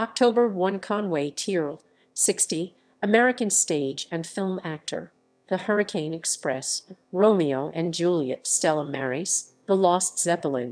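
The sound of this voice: With a fairly low pitch and a slightly mellow tone, a woman speaks fairly slowly, her pitch varying in an ordinary way.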